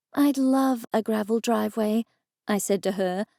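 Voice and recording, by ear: The background is quiet while someone reads aloud in a natural voice. Pitch moves in an ordinary way.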